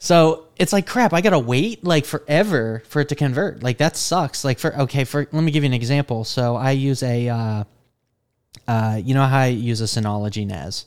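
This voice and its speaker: With an unremarkable speaking voice at medium pitch, a man talks at a fairly quick pace with lively intonation. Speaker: podcast host. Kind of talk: casual chat about tech news. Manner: casual, filler-heavy.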